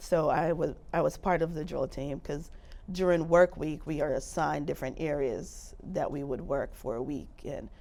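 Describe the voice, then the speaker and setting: A woman with a very deep, low pitch and a dark, mellow tone speaks at a moderate pace. Her intonation is fairly even, with vocal fry. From Jamaica, Montego Bay. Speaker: navy veteran. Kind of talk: oral history interview.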